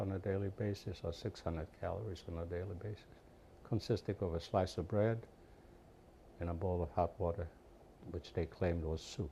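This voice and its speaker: Somewhat breathy and dark, mellow in tone, a man talks at a moderate pace with fairly even intonation. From Poland. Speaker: Holocaust survivor. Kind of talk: interview testimony.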